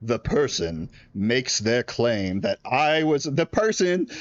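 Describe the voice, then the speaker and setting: Putting on a gruff character voice, a man speaks at a medium pitch and a fairly slow pace, with very wide pitch swings and very even loudness. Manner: gruff, tough.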